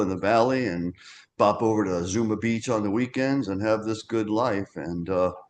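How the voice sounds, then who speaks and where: A man talks at a fairly slow pace in a plain, everyday voice. His pitch is fairly low, and the background is quiet. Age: 60s. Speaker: memoirist and former magazine publisher. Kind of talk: podcast interview.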